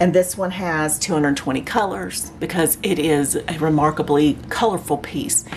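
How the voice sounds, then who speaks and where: Noticeable background noise runs under the recording. A woman with an American accent talks at a moderate pace. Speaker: craft YouTuber. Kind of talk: unboxing review. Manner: animated.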